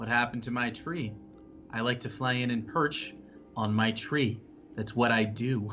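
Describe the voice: In a put-on character voice, a man booms at medium pitch and a moderate pace, leaving long, frequent pauses while music plays clearly in the background.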